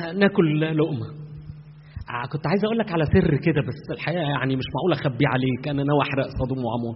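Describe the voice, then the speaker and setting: A man with an Egyptian accent speaks at a fairly quick pace and a fairly high pitch, with ordinary pitch variation. Noticeable background noise is present. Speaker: pastor. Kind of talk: sermon.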